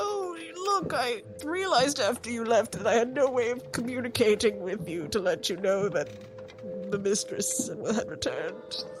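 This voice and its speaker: Over clear music in the background, a woman uses a put-on character voice at a moderate pace. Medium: actual play. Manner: courteous, formal.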